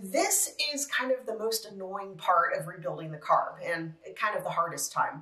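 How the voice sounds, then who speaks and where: At a moderate pace, the voice comes through with audible room echo. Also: woman. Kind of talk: tutorial. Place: home room.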